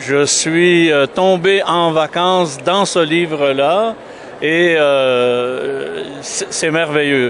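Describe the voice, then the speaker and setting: Amid noticeable background noise, a man with a fairly high pitch speaks very slowly, his pitch varying in an ordinary way. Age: 70s. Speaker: author's godson discussing a book. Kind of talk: interview. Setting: book fair.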